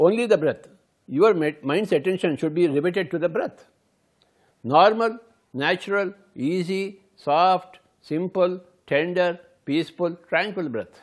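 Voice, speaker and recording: A man with an Indian accent speaks in a gentle tone with a high pitch. His pace is fairly slow, with long, frequent pauses against a quiet background. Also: ordinary pitch variation. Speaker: meditation teacher. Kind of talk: guided meditation, instructional talk. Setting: recorded video. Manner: gentle, repetitive, instructive. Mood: calm, slow, gentle. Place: home room.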